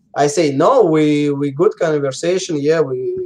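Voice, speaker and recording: With a Russian accent, a man talks at a moderate pace and uses ordinary pitch variation. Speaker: professional paintball player. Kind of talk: interview. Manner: halting, many fillers.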